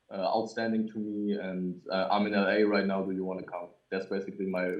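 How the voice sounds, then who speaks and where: Speaking at a very fast pace, a man with a German accent keeps his fairly low pitch in a flat monotone. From Germany. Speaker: music producer. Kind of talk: casual interview. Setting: livestreamed video call. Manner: halting.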